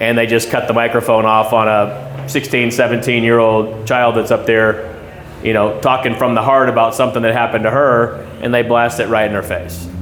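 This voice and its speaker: At a fairly quick pace, a man speaks at medium pitch with fairly even intonation and very even loudness. Audible room echo and noticeable background noise fill the recording. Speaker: school board candidate. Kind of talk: community meet and greet Q&A.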